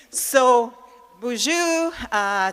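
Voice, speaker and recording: A loud woman's voice with a bright, sharp tone. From Manitoba First Nation, Canada. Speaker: conference speaker. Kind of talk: public speech.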